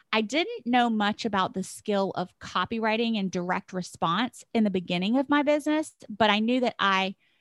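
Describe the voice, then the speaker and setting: In a very clean recording with a silent background and a dry, close sound with no echo, a woman with an unremarkable speaking voice talks at a moderate pace and a fairly high pitch with ordinary pitch variation. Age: 40s. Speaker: business coach. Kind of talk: casual chat.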